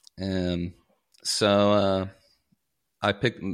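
Very deep and low in pitch, a man with an American accent speaks in a monotone, flat intonation on a very clean recording with a silent background. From US South, Kentucky (Paducah). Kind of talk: casual interview chat.

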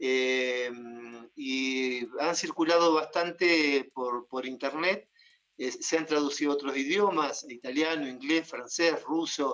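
A man's fairly high voice with an Argentine accent, at a very slow pace with fairly even intonation. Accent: Rioplatense Argentine Spanish. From Argentina, Buenos Aires province (Bordenave, Mar del Plata). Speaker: psychologist and poet. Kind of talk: interview.

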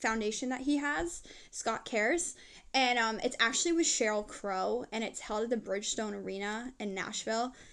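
With an American accent, a woman speaks at a high pitch and a moderate pace. Her intonation is lively. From New Jersey. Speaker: pop singer. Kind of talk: casual interview.

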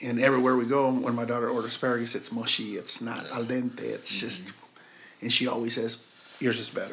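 Speaking at a very fast pace, a man uses a monotone, flat intonation with an American accent. There is noticeable background noise. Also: medium pitch for a man. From Missouri. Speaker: chef. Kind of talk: casual chat.

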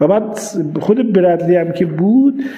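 A man's high voice amid audible room echo and noticeable background noise. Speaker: neurology professor. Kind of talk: interview.

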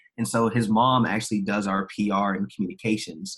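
In a plain, everyday voice, a man talks at a moderate pace with fairly low pitch and fairly even intonation. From Maryland, US. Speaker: nonprofit founder in esports. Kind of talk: podcast interview.

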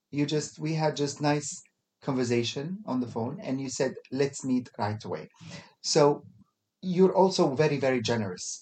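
A man with an Arabic accent has a fairly high pitch and a dark, mellow tone. He talks at a moderate pace with ordinary pitch variation. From Kuwait. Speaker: podcast host. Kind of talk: casual interview chat. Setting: studio. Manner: halting, many fillers.

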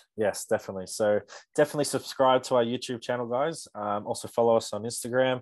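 A medium-pitched man with an Australian accent, very fast pace and fairly even intonation, over a quiet background. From Australia, Canberra. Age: young. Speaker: strength and conditioning coach. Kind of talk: sales pitch; casual chat.

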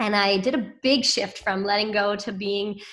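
A woman speaks with a Canadian accent. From Ontario, Canada (Pickering, near Toronto). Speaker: wedding venue owner. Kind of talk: interview. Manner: halting.

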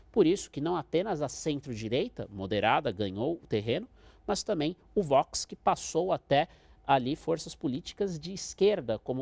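A man's fairly high voice with vocal fry and very wide pitch swings, in a dry, close recording with no echo. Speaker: international relations professor. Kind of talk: expert interview.

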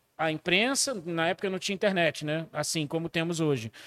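A man speaks at a moderate pace in a very clean recording with a silent background, the sound dry and close with no echo. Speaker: record label owner. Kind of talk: casual chat.

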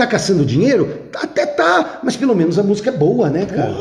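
Pitch leaps across a very wide range as the words come fairly fast, with clear background noise underneath. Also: man. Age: 50s. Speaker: former math teacher and rock expert. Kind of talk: casual chat. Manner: animated.

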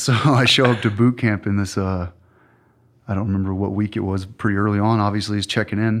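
Speaking at a fairly quick pace, a man with a normal speaking voice sits at a fairly low pitch. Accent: American. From Southeast Texas. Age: 30s. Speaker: Navy veteran and author. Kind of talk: casual interview chat.

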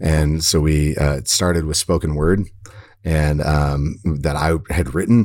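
At a very slow pace, a man speaks in a very deep, low voice with fairly even intonation. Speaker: podcast host and former teacher. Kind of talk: casual chat.

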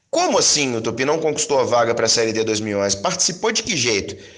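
Audible room echo surrounds a man's voice. There is noticeable noise in the background as well. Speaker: podcast host, football fan. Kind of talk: podcast monologue and interview.

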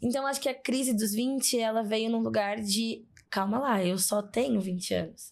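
In an unremarkable speaking voice, a woman talks at a moderate pace with a fairly high pitch, fairly even intonation and very even loudness. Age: 20s. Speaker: psychologist and diversity specialist. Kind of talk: casual interview conversation. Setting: studio in São Paulo.

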